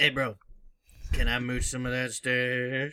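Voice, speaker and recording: Speaking fairly slowly at a medium pitch, the man adopts a put-on character voice. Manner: mooching, pleading.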